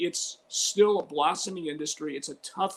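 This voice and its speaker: Moderate pace from a man with an American accent. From Chicago (Albany Park). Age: 60s. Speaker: sportscaster. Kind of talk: interview.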